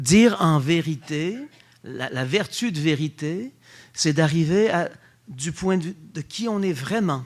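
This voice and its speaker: Pausing long and often, a man speaks very slowly at a fairly high pitch. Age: 60s. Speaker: Dominican friar and theology lecturer. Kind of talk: public lecture. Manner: animated.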